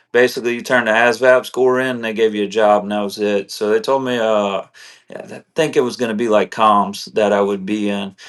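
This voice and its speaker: A man's fairly low voice in a South Louisiana accent, fairly quick, with monotone, flat intonation. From South Louisiana, Morgan City. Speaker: combat veteran. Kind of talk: interview testimony. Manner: casual, many fillers.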